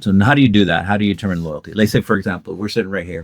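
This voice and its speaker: Talking very fast, a man keeps his pitch fairly low. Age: 50s. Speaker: podcast host. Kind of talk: casual discussion. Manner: halting, many fillers and repetitions.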